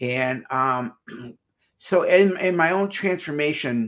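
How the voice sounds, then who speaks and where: A man's normal speaking voice, fairly high in pitch, with lively intonation over a quiet background. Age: 60s. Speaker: marriage counselor and psychologist. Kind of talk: interview. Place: office.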